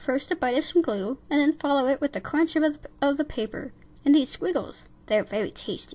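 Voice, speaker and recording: Using a put-on character voice, a woman talks fairly quickly at a high pitch. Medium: read story. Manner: bossy, instructive.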